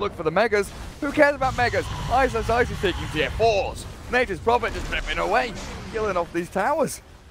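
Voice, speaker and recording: Noticeable background noise sits behind a man talking at a very fast pace, his high pitch carrying an animated tone and lively intonation. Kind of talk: esports commentary. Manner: fast, excitable play-by-play; animated, shouting at big kills.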